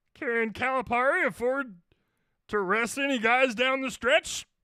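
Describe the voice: A strained, fairly high put-on character voice speaks at a moderate pace. The recording is very clean, with a silent background.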